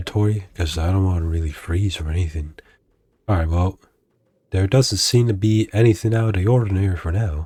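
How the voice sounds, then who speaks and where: Very deep and low, this man's voice sits at the bottom of the range. His pitch variation is ordinary. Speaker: gaming YouTuber. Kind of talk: casual gameplay commentary. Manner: casual, filler-heavy.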